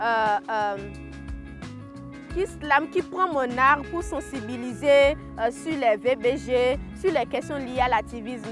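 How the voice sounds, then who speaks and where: A woman's voice with music in the background. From Benin. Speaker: slam poet and storyteller, activist. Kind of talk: interview answer.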